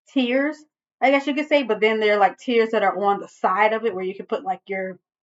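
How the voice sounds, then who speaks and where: This woman has a plain, everyday voice pitched fairly high. Her intonation is lively. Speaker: vintage decor vlogger. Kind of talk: casual vlog show-and-tell.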